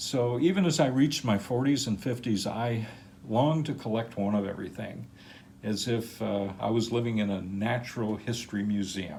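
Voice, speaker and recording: A man's dark, mellow voice at a medium pitch and moderate pace, with ordinary pitch variation and audible room echo. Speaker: crystal collector, channel owner. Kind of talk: personal life story narration. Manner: casual with filler words.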